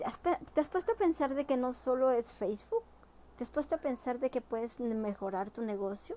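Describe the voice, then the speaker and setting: A woman talks with lively intonation. She speaks at a high pitch. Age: 40s. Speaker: entrepreneur and vlogger. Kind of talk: motivational talk to camera.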